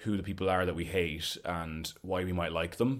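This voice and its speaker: Speaking with an Irish midlands accent, a man with a very deep, low pitch keeps a moderate pace and fairly even intonation. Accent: Irish (Roscommon). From Ireland, County Roscommon. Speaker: cabaret performer. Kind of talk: casual interview. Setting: remote call.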